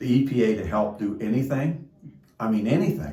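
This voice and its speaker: A man speaks at a medium pitch and a moderate pace, with a dark, mellow tone and vocal fry. Audible room echo surrounds the voice. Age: 60s. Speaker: derailment-affected resident. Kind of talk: testimony.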